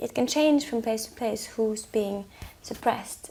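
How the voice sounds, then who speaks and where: The voice is soft-spoken and fairly slow. Noticeable background noise runs underneath. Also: woman. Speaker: singer-songwriter. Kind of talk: interview answer.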